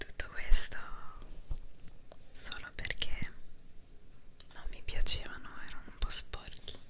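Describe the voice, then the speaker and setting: A soft-spoken woman's whispering at a very slow pace. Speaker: ASMR content creator. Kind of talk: soft whispered ASMR talk. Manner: soft close-mic ASMR whisper. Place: home room. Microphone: studio mic.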